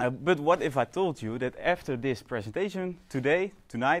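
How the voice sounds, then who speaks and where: A man with a Dutch accent at a moderate pace, with very wide pitch swings. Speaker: fitness coach. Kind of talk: lecture. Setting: stage with audience. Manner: halting.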